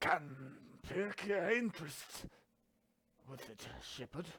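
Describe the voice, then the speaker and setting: Putting on a character voice, a man speaks at a fairly slow pace in a high, gruff, raspy register with lively intonation. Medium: game stream. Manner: archaic, gruff.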